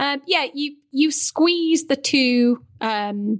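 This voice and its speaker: A woman speaks with a British accent. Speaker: sex educator and broadcaster. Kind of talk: casual chat. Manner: animated, chatty.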